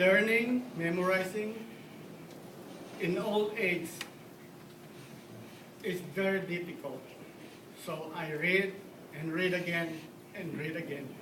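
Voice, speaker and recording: There is noticeable background noise as a man speaks at a very slow pace with long, frequent pauses. His voice is high, with ordinary pitch variation. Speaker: dental assistant. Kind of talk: awards ceremony speech. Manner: nervous.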